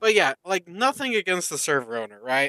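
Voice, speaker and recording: With a bright, sharp tone, a man uses a raised, projected voice and very wide pitch swings, recorded with a dry, close sound and no echo. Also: very clean recording, silent background. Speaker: gaming streamer. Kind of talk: casual live stream chat. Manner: loud; halting, many fillers.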